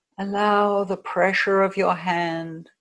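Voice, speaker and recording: In an unremarkable speaking voice, a woman of medium pitch speaks with an American accent and fairly even intonation. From United States. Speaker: hypnotherapist. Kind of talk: guided hypnosis session, guided meditation. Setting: video call.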